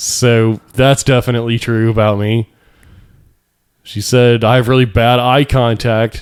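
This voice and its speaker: A man's medium-pitched voice, fairly slow and monotone, with flat intonation. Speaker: podcast host. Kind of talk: casual chat. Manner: loud; peaks into the mic when emotional.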